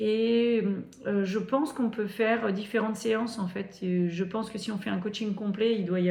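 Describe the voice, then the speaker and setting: Noticeable background noise and audible room echo around a woman speaking at a moderate tempo. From northern France. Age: 40s. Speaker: sewing youtuber. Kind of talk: casual vlog talk to camera. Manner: hesitant, many fillers and repetitions.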